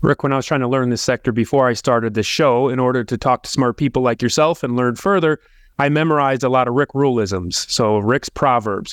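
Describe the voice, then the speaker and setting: A man with a plain, everyday voice at medium pitch talks at a fairly quick pace with ordinary pitch variation and very even loudness, in a dry, close sound with no echo and a quiet background. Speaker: podcast host. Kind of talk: interview questions.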